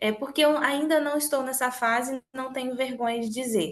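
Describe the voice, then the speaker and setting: Her pitch is high. The woman is recorded against a quiet background. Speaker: sales trainer. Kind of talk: motivational training talk. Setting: recorded online meeting.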